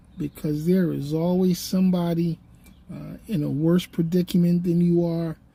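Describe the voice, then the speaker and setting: A woman's somewhat breathy, dark, mellow voice at a fairly low pitch. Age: 60s. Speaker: YouTuber and podcaster. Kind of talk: casual vlog monologue. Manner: halting, many fillers.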